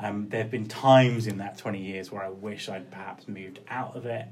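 There is audible room echo around a man with a southern English accent. His fairly low voice keeps a fairly even intonation. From Cornwall and Kent coast, England. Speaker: recruitment consultant and podcaster. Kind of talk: interview. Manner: hesitant, with fillers and repetitions.

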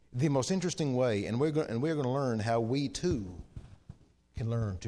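With audible room echo around him, a man speaks at a medium pitch in a dark, mellow tone with very wide pitch swings. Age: 40s. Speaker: preacher. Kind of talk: sermon. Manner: halting.

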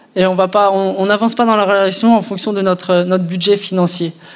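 The speaker is a man. His voice has a high pitch. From France, Reims. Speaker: engaged man sharing his story. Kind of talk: testimony.

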